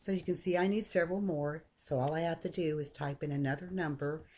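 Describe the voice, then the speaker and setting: A woman's very deep, low voice with ordinary pitch variation at a moderate pace. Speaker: software tutorial maker; software tutorial narrator. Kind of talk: screen-recorded tutorial. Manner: casual, conversational.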